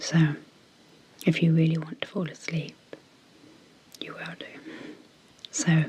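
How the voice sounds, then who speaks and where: Over noticeable background noise, a soft-spoken voice keeps a moderate pace. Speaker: clinical psychologist and ASMR hypnosis creator. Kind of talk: guided hypnosis intro.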